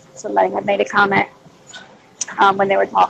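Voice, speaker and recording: A woman with a Southern US accent speaks over noticeable background noise. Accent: mild southern US. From Louisiana, US South. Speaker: livestream host. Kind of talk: casual chat.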